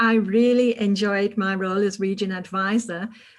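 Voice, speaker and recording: A somewhat breathy woman's voice with a British accent. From United Kingdom. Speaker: public speaking club leader. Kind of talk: panel discussion.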